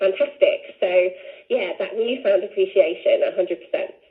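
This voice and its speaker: At a moderate pace, a woman talks with noticeable background noise behind her. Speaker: fitness instructor and business owner. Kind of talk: radio interview. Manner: animated.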